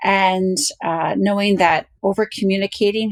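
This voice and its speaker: This is a woman with a normal speaking voice. Her pitch sits in the medium range. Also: dry, close sound with no echo. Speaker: university parent program director. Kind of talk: interview.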